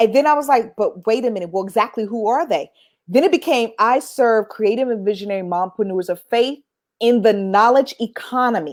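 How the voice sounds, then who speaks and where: Talking at a fairly quick pace, a woman uses a fairly high pitch with ordinary pitch variation in a very clean recording with a silent background. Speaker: business coach, founder. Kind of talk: interview.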